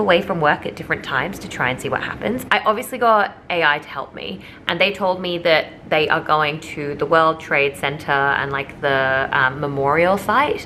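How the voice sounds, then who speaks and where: A woman speaks at a moderate pace while noticeable noise sits in the background. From England then Australia. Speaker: lifestyle vlogger. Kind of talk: vlog narration. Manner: animated.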